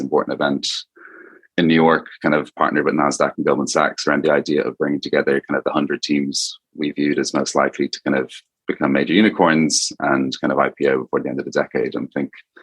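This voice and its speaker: Someone speaks very fast with an Irish accent. The sound is dry and close, with no echo. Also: man. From Ireland, Dublin. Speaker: venture capital investor. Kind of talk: podcast interview. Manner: casual, many fillers.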